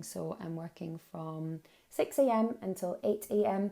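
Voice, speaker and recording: Recorded very cleanly against a silent background, the voice has a dark, mellow tone and ordinary pitch variation. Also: woman. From Scotland, Glasgow. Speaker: life coach, podcast host. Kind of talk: casual podcast monologue. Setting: home office.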